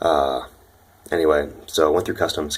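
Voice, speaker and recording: A man with an American accent speaks quietly at a fairly quick pace. Noticeable background noise is present. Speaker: exchange student vlogger. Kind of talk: casual vlog. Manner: quiet, talking low; hesitant, many fillers.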